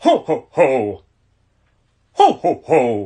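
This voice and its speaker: This is a put-on character voice. Its pitch is middle. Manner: jolly laugh.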